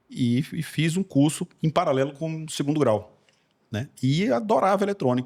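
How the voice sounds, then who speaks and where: Here a man speaks with lively intonation. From Recife, Brazil. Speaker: engineer. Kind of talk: podcast interview. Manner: hesitant, many fillers and repetitions.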